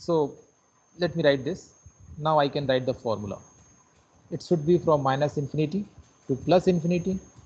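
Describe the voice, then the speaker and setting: Long, frequent pauses break up a man's somewhat breathy speech. His pitch is fairly high, with ordinary variation. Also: fairly quick pace. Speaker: lecturer. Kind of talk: lecture.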